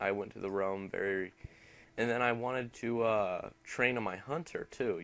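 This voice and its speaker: A man mumbles at a moderate pace. His pitch varies in an ordinary way. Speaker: gaming youtuber. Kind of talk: casual chat. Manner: mumbling; halting.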